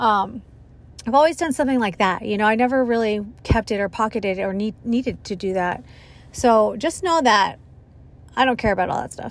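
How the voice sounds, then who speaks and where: A woman's fairly high, fairly quick delivery in an ordinary speaking voice with ordinary pitch variation. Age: 30s. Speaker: podcast host, school worker. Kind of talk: casual solo chat. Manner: casual, filler-heavy.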